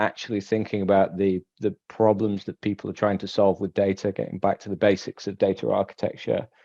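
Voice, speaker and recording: A man with an English accent and a fairly low pitch speaks at a fairly quick pace. He uses hardly any pauses against a quiet background. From England, Manchester area. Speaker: solution architect. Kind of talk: panel discussion.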